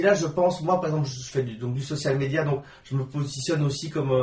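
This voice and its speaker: At a moderate pace, a man with a normal speaking voice talks with ordinary pitch variation. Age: 30s. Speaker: journalist and blogger. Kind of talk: interview. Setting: host's home.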